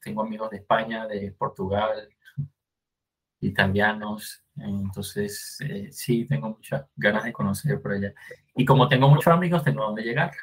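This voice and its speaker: Lively intonation marks this man's fairly low, somewhat breathy voice. He keeps a moderate pace. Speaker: podcast host. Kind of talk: casual chat.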